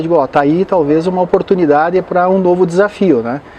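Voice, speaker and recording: Very fast speech from a man, with noticeable background noise behind it. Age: 60s. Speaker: pilgrim and motivational speaker. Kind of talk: interview.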